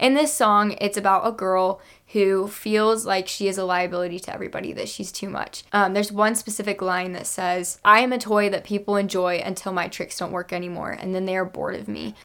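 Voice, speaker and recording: A woman speaks fairly quickly at a medium pitch, her intonation fairly even. The recording is very clean, with a silent background. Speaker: podcast co-host. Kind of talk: casual chat. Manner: monotone at times.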